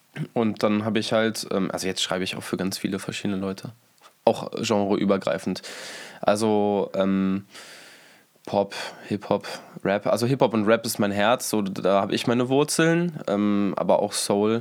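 Delivered at a moderate pace with ordinary pitch variation, the speech is broken by long, frequent pauses. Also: man, fairly low pitch for a man. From Berlin. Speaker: rapper and songwriter. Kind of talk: casual interview.

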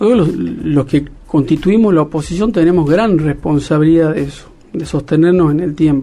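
This is a normal speaking voice, a man with a fairly high pitch. He goes at a moderate pace with ordinary pitch variation. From Argentina, Salta (Cafayate). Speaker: politician. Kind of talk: interview.

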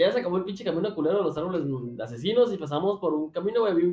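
Over noticeable background noise, a man with a Mexican accent talks very fast in a high, animated voice with lively intonation. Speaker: podcast host. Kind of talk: casual chat.

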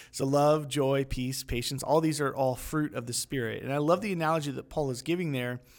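In an unremarkable speaking voice, a man talks at a fairly quick pace with hardly any pauses, a fairly high pitch and fairly even intonation, on a very clean recording with a silent background. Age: 30s. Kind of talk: casual faith discussion.

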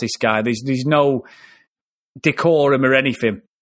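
A medium-pitched man with an English accent, in a very clean recording with a silent background. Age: 40s. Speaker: film podcast host. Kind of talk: casual chat.

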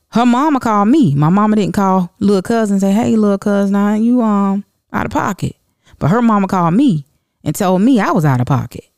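A woman speaks at a medium pitch and a fairly quick pace, her tone animated and her intonation lively. Her loudness stays very even, and the sound is dry and close with no echo. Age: 30s. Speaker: podcast host. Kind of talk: casual monologue.

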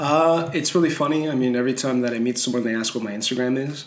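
Audible room echo and noticeable background noise. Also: man. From Montreal, Canada. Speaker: painter. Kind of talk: casual interview.

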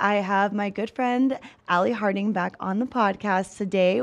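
A woman speaks with an unremarkable speaking voice. Her pace is moderate and her pitch variation ordinary. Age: 30s. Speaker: podcast host. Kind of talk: casual chat.

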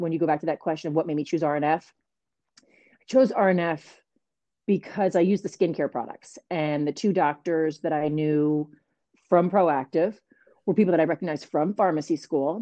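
Her tone dark and mellow, a woman with a fairly low pitch speaks at a moderate pace with ordinary pitch variation and long, frequent pauses. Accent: American. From New Jersey. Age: 40s. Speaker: pharmacist and network marketing entrepreneur. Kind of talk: casual interview.

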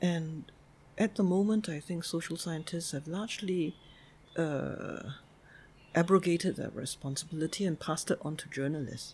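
Her voice is fairly low for a woman and somewhat breathy. She uses ordinary pitch variation. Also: moderate pace, very clean recording, silent background. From Singapore. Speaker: sociologist and graduate school dean. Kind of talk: interview.

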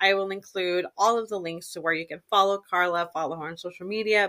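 Her intonation fairly even, a woman talks at a moderate pace in an ordinary speaking voice. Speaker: podcast host. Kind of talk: casual interview chat, bilingual. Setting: remote recording, online program.

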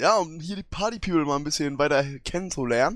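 A man talks at a moderate pace on a very clean recording, the background silent. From northern Germany, Hamburg. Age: 20s. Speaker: podcast co-host. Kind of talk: casual chat.

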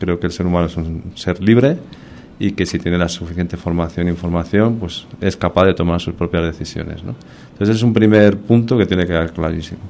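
With a Spanish accent, a man speaks at a fairly quick pace. His voice is very deep and low, with ordinary pitch variation. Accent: Spanish (Spain). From Spain. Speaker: army colonel and mountaineer. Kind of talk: radio interview.

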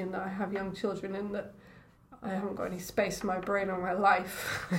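With audible room echo and noticeable background noise, a woman speaks at a fairly quick pace in a flat, monotone delivery at a medium pitch. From Scotland, Edinburgh. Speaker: oceanographer. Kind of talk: casual chat.

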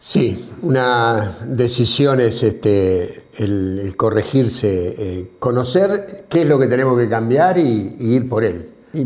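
A man speaks at a very slow pace yet with hardly any pauses, in a medium pitch with lively intonation. Audible room echo surrounds his voice. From Argentina, small town. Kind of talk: casual chat.

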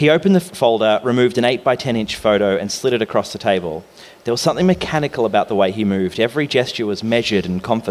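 A natural reading voice delivers the text with lively intonation.

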